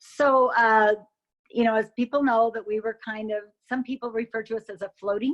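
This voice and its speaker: Over a quiet background, a woman with an American accent speaks in a fairly high pitch with fairly even intonation, a plain, everyday voice heard dry and close with no echo. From Utah (Logan). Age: 60s. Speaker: coronavirus patient. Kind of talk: interview.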